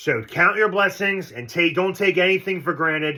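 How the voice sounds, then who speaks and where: This man has an ordinary speaking voice. He talks at a moderate pace with ordinary pitch variation. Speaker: sports fan channel host. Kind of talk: casual vlog commentary.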